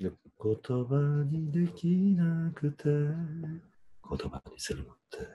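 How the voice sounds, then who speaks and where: A man talks with big swings in loudness. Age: 50s. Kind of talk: casual couple conversation. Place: home room. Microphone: video call.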